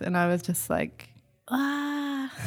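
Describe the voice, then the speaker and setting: Lively intonation marks this woman's speech in a New Zealand accent. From New Zealand, Whangarei. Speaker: singer-songwriter. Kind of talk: casual chat. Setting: donut shop and restaurant.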